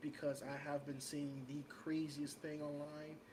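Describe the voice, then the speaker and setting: Moderately paced man, fairly high in pitch, in a New York accent. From New York City, Washington Heights. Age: 30s. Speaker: podcast co-host. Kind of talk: casual chat.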